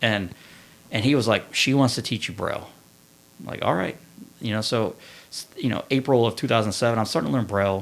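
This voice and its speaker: With a Kentucky accent, a man talks at a fairly quick pace in a medium pitch, using ordinary pitch variation and taking long, frequent pauses. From central Kentucky (Winchester). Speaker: Marine Corps veteran. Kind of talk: testimony.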